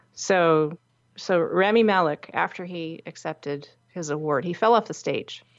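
An unremarkable speaking voice from a woman, fairly low in pitch, with ordinary pitch variation, a fairly slow pace and big swings in loudness. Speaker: podcast co-host. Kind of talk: casual chat. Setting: remote call between hosts.

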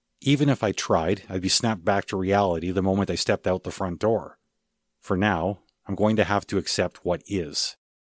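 A man speaks in a normal speaking voice at a moderate pace, his fairly low pitch moving with ordinary variation, in a dry, close recording with no echo that is very clean over a silent background. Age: 40s. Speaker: podcast host. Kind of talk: scripted monologue.

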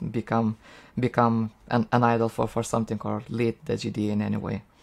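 A man speaks with a Lithuanian accent in a medium pitch. His intonation stays fairly even. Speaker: software engineer. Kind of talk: casual interview. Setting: video call. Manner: halting with frequent repetitions.

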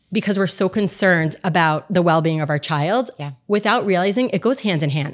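With an American accent, a woman speaks in a normal speaking voice at a medium pitch, with lively intonation and a moderate pace. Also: very clean recording, silent background. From Miami, Florida. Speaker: physician assistant. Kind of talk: podcast interview.

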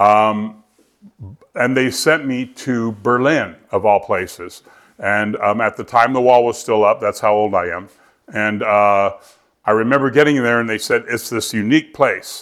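The recording is very clean, with a silent background. A man speaks fairly slowly at medium pitch with fairly even intonation. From US military family, moved abroad and around US. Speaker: recovering alcoholic speaker. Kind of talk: recovery meeting testimony. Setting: meeting room with audience after dinner. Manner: halting, many fillers.

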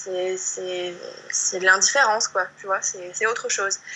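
Noticeable noise fills the background. Through it, a woman's voice is heard. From southern France, countryside. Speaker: yoga teacher and blogger. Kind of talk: casual interview. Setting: video call. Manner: halting, many repetitions and fillers.

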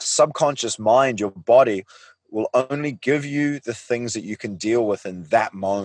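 A man with a New Zealand accent at a medium pitch and moderate pace, lively intonation, dry close sound with no echo and a quiet background. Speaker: life coach. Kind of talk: interview. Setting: video call.

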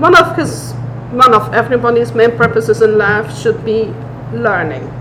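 Noticeable background noise can be heard. The pace of the speech is moderate. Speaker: brewery co-owner. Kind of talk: casual interview.

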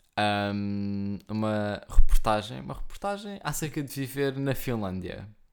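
A man with an ordinary speaking voice, fairly low in pitch, at a fairly slow pace with lively intonation, big swings in loudness and hardly any pauses. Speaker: podcast co-host. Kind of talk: casual chat.

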